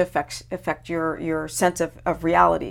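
In a very clean recording with a silent background, a woman speaks with vocal fry. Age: 50s. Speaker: health and wellness expert, former pro skateboarder. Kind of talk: casual interview chat.

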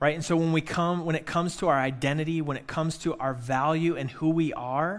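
In a plain, everyday voice, a man with an American accent speaks at a fairly high pitch with fairly even intonation. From Michigan. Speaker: pastor. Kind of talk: sermon. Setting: church.

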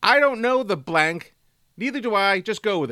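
Bright and sharp in tone, this voice is raised and projected. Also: man, dry, close sound with no echo. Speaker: quiz master. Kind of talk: casual trivia quiz.

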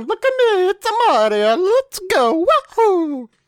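In a put-on character voice with an Italian accent, the speaker goes fairly slowly at an extremely high pitch with very wide pitch swings. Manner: exaggerated, playful.

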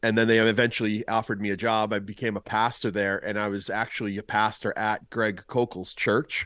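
A man speaks at a moderate pace in a fairly low pitch, his bright, sharp tone delivered with monotone, flat intonation. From Boston. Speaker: pastor, speaker and former lawyer. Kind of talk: casual interview.

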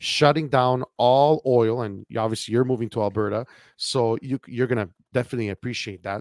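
With a Canadian accent and an unremarkable speaking voice, a man talks at a medium pitch and a fairly quick pace in a very clean recording with a silent background and a dry, close sound with no echo. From Canada. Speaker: podcast host. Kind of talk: casual political talk-show conversation.

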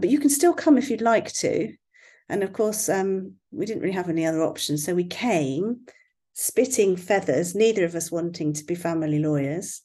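Moving at a fairly quick pace, a woman with a slight West Country accent swings her pitch very widely. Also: quiet background. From West Country, England. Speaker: family law barrister and blogger. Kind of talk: casual interview chat.

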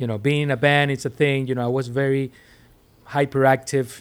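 Speaking with a Spanish accent, a man keeps a medium pitch and fairly even intonation. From Venezuela. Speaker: DJ and music producer. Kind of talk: casual interview.

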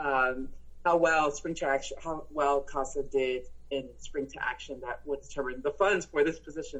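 A woman talks at a moderate pace with a Spanish accent. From El Paso, Texas, US. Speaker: nonprofit executive director. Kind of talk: interview.

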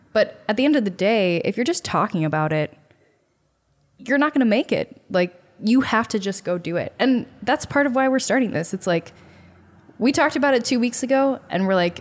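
In an American accent, a woman with a normal speaking voice talks fairly quickly at a fairly high pitch with lively intonation. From US Midwest, Chicago north suburbs. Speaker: podcast co-host, small business owner. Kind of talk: casual chat.

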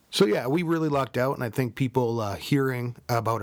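A man with a Minnesotan accent talks at a moderate pace. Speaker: podcast co-host.

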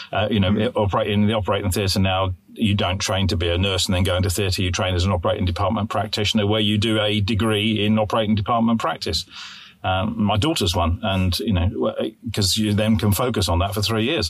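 A man with a British accent talks very fast at a fairly low pitch. His loudness stays very even, and his intonation is fairly even. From UK. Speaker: podcast co-host, infection control specialist. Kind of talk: casual chat.

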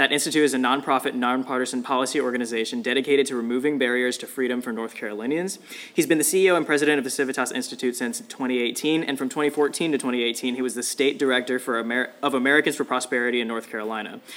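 Noticeable background noise surrounds a man speaking at a very fast pace. His medium pitch follows fairly even intonation. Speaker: podcast host. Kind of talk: interview.

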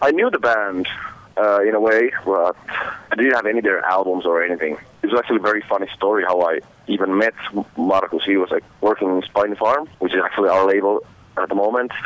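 A man with a Finnish accent talks very fast in a fairly low voice with ordinary pitch variation. His loudness stays very even, over noticeable background noise. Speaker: metal band musician. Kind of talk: interview. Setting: phone call.

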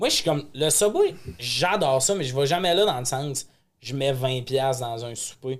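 At a fairly slow pace, a man talks in a fairly high pitch. His pitch variation is ordinary. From Quebec, Lac-Saint-Jean. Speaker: comedian and podcast host. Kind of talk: casual chat. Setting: studio.

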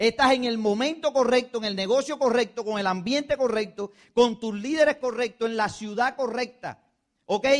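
This man speaks at a moderate pace in an extremely high voice with ordinary pitch variation. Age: 30s. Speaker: network marketing business leader. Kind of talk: motivational speech.

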